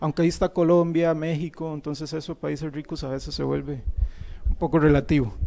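Fairly high-pitched, a man speaks at a fairly quick pace in a flat monotone. His tone is dark and mellow. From Costa Rica. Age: 30s. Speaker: university professor. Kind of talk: panel talk. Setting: auditorium with audience. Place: classroom. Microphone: handheld.

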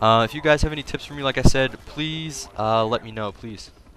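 A man talks at a fairly quick pace with ordinary pitch variation. Noticeable background noise sits behind him. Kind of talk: casual gaming commentary. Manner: casual, conversational, with frequent filler words.

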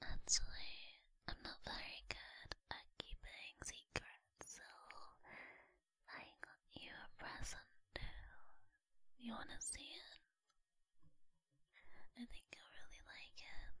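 Someone is whispering at a very slow pace. Long pauses come often. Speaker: voice actor of roleplay character. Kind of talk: roleplay character monologue to listener. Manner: soft, close, intimate ASMR voice.

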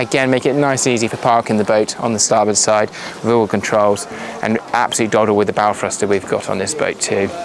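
Over light background noise, a man talks at a fairly quick pace with ordinary pitch variation, the sound dry with no echo. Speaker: boat sales representative. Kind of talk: on-board walkthrough tour of a boat for sale. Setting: outdoors aboard a boat at a boat show. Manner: brisk, upbeat salesman patter with run-on descriptions. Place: boat.

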